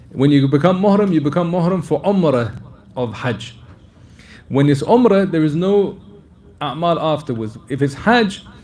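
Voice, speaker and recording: Amid audible room echo, a man with a fairly high pitch speaks with lively intonation and long, frequent pauses. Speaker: Islamic scholar answering questions. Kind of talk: religious lecture Q&A. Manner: fast.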